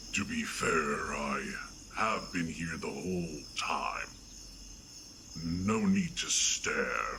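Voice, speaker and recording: Through clear background noise, a man performs a put-on character voice at a very slow pace with long, frequent pauses. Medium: audio drama. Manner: blunt, deadpan, emotionally detached.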